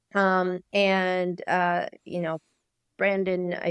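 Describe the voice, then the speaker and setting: A Canadian accent in a very clean recording, silent background, and a dry, close sound with no echo. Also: woman. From Canada, near Niagara Falls. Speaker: sports medicine doctor. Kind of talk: podcast interview.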